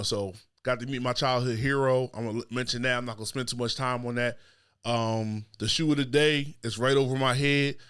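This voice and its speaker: A man's medium-pitched voice, fairly even in intonation, at a fairly quick pace, on a very clean recording with a silent background. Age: 30s. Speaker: podcast host. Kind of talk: casual monologue. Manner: casual, filler-heavy.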